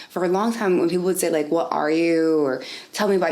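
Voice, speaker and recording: Noticeable background noise sits behind a woman with a very deep, low pitch, fairly even intonation and a slight Spanish accent. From US, raised in North Carolina area by Dominican immigrant parents. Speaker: interviewee, education/nonprofit worker. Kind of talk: oral history interview. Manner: casual, many fillers like 'like' and 'um'.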